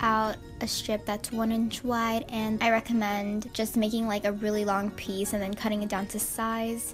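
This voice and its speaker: A woman talks at a moderate pace in a flat, monotone delivery. Music plays in the background. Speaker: sewing YouTuber. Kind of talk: DIY tutorial voiceover.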